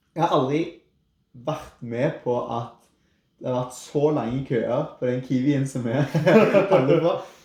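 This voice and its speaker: A man with a Rogaland accent speaks at a very slow pace in a somewhat breathy voice. His pitch is fairly high, with ordinary variation. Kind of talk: podcast conversation.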